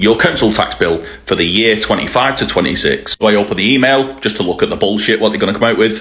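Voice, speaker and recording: Over noticeable background noise, a man with a fairly low pitch talks at a very fast pace with hardly any pauses, very even loudness and ordinary pitch variation. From northern England (Bolton). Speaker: angry citizen vlogger. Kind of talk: rant to camera.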